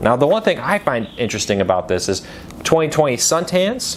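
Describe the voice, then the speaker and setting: A man with an American accent at a fairly quick pace, with noticeable background noise. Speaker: news commentary host. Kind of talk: casual news commentary. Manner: conversational, some stumbles.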